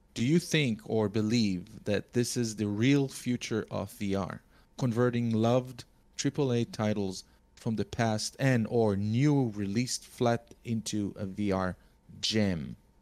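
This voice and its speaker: A man with a non-native accent at a medium pitch, ordinary pitch variation and a fairly slow pace, on a very clean recording with a silent background. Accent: foreign-accented English. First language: not English. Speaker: podcast co-host. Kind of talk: casual chat.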